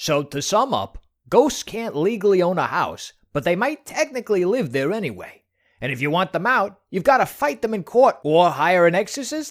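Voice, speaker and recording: A cartoonish character voice sits at a middle pitch and moves at a moderate pace. The recording is very clean, with a silent background. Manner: sarcastic.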